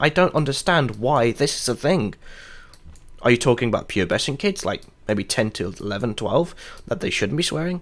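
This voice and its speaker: A speaker with a British accent mumbles in a bright, sharp tone. The pitch swings very widely. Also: man. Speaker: gaming streamer. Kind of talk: casual live stream rant. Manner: mumbling; halting.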